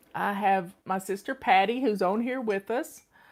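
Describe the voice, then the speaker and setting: At a moderate pace, a woman speaks with a North Carolina accent. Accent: Southern US (North Carolina). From US South. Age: 60s. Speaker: home organizing coach and channel host. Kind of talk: casual personal talk to online audience.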